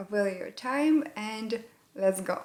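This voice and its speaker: A woman speaks very slowly in a Russian accent. Her pitch is medium and varies in an ordinary way. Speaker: English learning YouTuber. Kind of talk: tutorial. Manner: halting, with many fillers.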